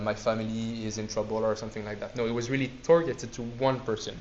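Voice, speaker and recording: A man talks at a fairly quick pace. Noticeable background noise and audible room echo surround his voice. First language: not English. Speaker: student society presenter. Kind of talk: lecture. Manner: halting.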